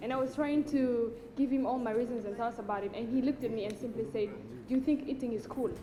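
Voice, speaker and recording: A woman's high-pitched voice at a very fast pace, with ordinary pitch variation over noticeable background noise. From Rwanda. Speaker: food processing entrepreneur. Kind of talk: audience testimony.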